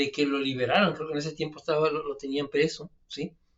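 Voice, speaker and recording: Relaxed in tone, a man speaks with a northern Mexican accent. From Mexico, Mexicali (northern border). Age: 50s. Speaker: alternative health adviser, channel host. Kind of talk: casual storytelling monologue. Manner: relaxed, with many fillers and hesitations.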